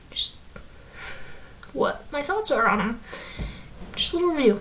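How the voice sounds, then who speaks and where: The pitch swings very widely at a moderate pace. Noticeable background noise runs underneath. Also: woman, high pitch for a woman. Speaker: youtuber reviewing TV episodes. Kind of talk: casual review monologue. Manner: hesitant, many fillers.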